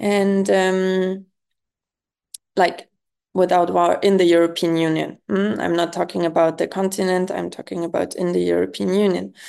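A woman speaks with a German accent against a quiet background. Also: moderate pace. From Germany. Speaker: youth organization president. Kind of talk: interview. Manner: hesitant, many fillers.

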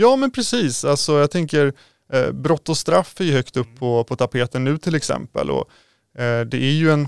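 A man with an ordinary speaking voice talks at a fairly high pitch and a moderate pace. His pitch varies in an ordinary way, and the sound is dry and close with no echo. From Sweden, Roslagen near Norrtälje. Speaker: local politician. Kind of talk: political interview.

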